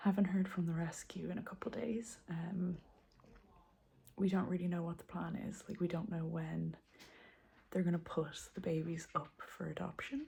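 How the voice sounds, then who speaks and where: A woman whispers at a moderate pace with vocal fry. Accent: Irish. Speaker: homesteading vlogger. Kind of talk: casual vlog update. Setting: home. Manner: whispering.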